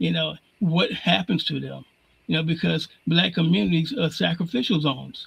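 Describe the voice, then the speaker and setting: Speaking at a moderate pace, a man with fairly high pitch shows vocal fry. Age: 70s. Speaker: civil rights organization branch president. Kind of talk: interview. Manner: repetitive false starts.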